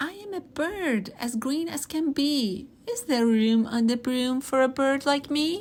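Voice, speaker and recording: A woman uses a put-on character voice pitched high. She barely pauses at all. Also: fairly slow pace. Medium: read story.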